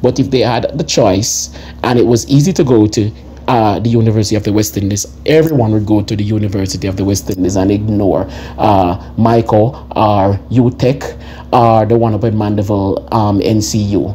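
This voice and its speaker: The speaker has a Jamaican accent. Background noise is noticeable. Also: man, fairly low pitch for a man, lively intonation, moderate pace. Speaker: commentary vlogger. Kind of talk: opinion commentary. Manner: animated.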